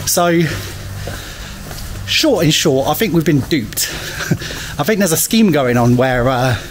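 Over clear background noise, a man speaks at a slow pace with lively intonation and a fairly high pitch.

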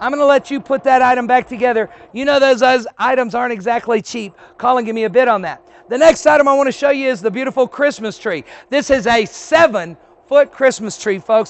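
An animated man's voice, extremely high in pitch, with ordinary pitch variation, a fairly quick pace and a dry sound with no echo. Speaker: auctioneer. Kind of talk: sales pitch. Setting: warehouse, outdoors in sun. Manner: animated, chatty, salesman patter. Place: street.

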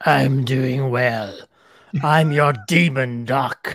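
A put-on character voice at a low-to-middle pitch drags along at a very slow pace in a theatrical, menacing tone.

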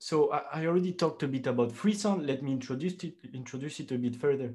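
A man's somewhat breathy voice at a very fast pace, lively in intonation, against a quiet background. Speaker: candidate. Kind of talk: lecture. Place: home room. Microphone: webcam.

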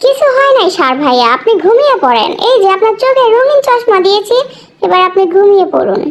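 A put-on character voice pitched extremely high, delivered at a moderate pace. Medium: dub.

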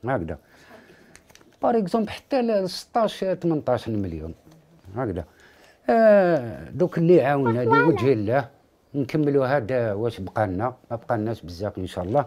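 A man's pitch swings very widely at a fairly slow pace. Noticeable background noise sits behind him. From Algeria. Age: 50s. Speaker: father of a sick child. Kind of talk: interview testimony. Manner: halting. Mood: worried, pleading for help. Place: home room.

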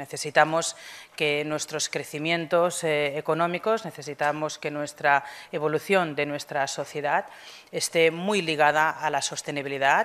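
A woman speaks at a very deep, low pitch. Her pace is fairly slow and her intonation fairly even. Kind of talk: formal welcome speech. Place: hall. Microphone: podium.

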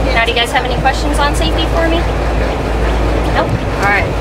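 A woman talks at a very fast pace. Loud background noise surrounds her. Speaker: tour guide. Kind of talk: tour guide commentary.

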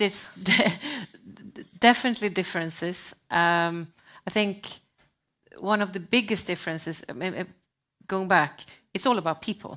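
In a Swedish accent, the speaker uses a bright, sharp tone at a moderate pace, with ordinary pitch variation. Long, frequent pauses break up the speech over a quiet background. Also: woman. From Sweden. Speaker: sustainability advisor; panelist. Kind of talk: panel discussion. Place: stage. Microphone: headset.

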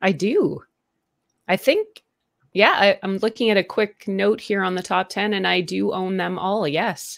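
A woman with a Canadian accent speaks fairly slowly with vocal fry and fairly even intonation. The background is quiet. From Canada. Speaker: tech gadget reviewer. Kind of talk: casual interview. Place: home room.

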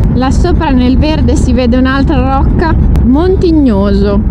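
A woman's voice sounds dry with no echo, set against loud background noise. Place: motorbike. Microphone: helmet.

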